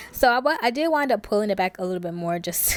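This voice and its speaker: Noticeable background noise surrounds a woman speaking. Her pitch is medium and her intonation lively. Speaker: beauty vlogger. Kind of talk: voiceover tutorial. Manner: fast; casual.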